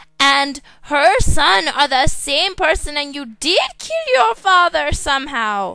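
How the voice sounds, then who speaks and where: A woman's put-on character voice, raised and projected, at a high pitch and a fairly slow pace. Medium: comedy sketch.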